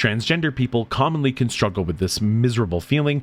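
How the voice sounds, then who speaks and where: On a very clean recording with a silent background, a man speaks at a fairly low pitch and fairly quick pace with lively intonation. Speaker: content creator and esports commentator. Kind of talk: personal storytelling narration.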